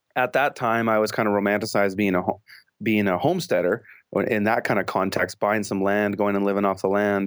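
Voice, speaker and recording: On a very clean recording with a silent background, a man with a Canadian accent talks at a fairly quick pace and fairly low pitch in an unremarkable speaking voice with fairly even intonation. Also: very even loudness. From British Columbia, Canada. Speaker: urban farmer. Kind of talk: interview.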